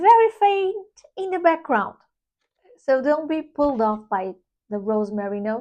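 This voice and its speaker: A high-pitched woman's voice with a dark, mellow tone, very wide pitch swings, a moderate pace and long, frequent pauses. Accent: non-native. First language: not English. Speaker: perfume reviewer. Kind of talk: product review. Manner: casual, halting with self-corrections.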